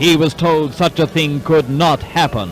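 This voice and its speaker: A man's fairly high voice in a dramatic tone, with music in the background. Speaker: newsreel narrator. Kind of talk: wartime newsreel narration.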